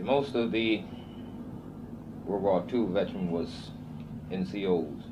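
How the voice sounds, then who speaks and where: A man's voice with ordinary pitch variation. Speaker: Korean War veteran, former POW. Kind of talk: interview answer.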